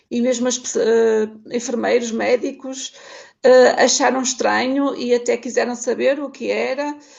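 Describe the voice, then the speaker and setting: A woman talks fairly slowly, and noticeable background noise is present throughout. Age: 50s. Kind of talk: testimony.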